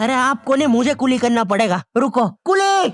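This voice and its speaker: A man puts on a cartoonish character voice with an extremely high pitch. He talks at a fairly slow pace with lively intonation. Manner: polite, addresses people as "bhai sahab".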